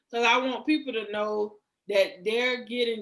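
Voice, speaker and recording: With a Southern US accent, this woman's voice sits at a fairly high pitch. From US South, Georgia near Savannah. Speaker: cosmetology school owner. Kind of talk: interview. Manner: soft-spoken.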